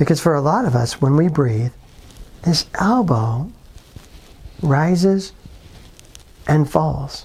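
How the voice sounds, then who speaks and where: A calm, gentle tone at a very slow pace, with long, frequent pauses. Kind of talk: guided breathing instruction, tutorial-style exercise. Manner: calm, slow, gentle, step-by-step coaching; friendly, plain-spoken, reassuring.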